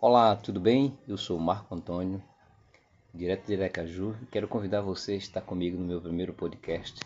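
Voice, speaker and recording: This man talks at a moderate pace in a very deep, low pitch with fairly even intonation. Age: 50s. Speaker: podcast host. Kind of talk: podcast introduction.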